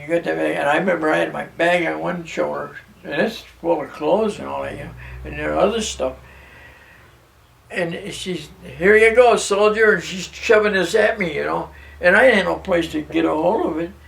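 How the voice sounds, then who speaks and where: A man's moderately paced speech competes with noticeable background noise. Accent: American. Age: 80s+. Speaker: war veteran. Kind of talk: interview answer.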